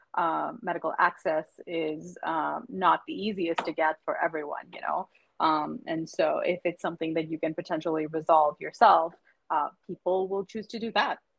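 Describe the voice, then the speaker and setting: A woman's fairly low voice with vocal fry, fairly even intonation and a moderate pace. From India, Mumbai. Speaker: professor. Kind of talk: casual interview.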